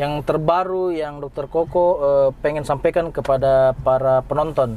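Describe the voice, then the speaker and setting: A man's fairly high voice at a fairly slow pace, with fairly even intonation. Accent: Makassar. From Sunda, West Java. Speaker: doctor and YouTube host. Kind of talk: casual interview. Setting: in a car with sunroof open.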